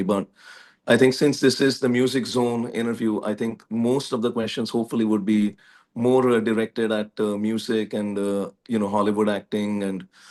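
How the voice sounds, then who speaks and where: With an American accent, this voice moves at a fairly quick pace with ordinary pitch variation over a quiet background. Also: man. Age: 40s. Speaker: musician and political candidate. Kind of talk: interview. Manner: formal.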